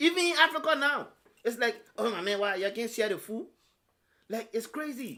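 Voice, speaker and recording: At a moderate pace, a man raises and projects an extremely high-pitched voice, bright and sharp in tone, with lively intonation and long, frequent pauses. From Ghana. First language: a Ghanaian language. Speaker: podcast host. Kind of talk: casual chat. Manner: animated.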